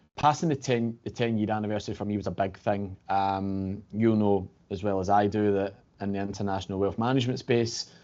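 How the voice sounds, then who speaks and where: A man with a Glasgow accent, fairly low in pitch, at a fairly quick pace. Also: fairly even intonation. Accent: Glasgow Scottish. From Scotland, Glasgow. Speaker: financial services regional director. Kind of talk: podcast interview. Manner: hesitant, many fillers.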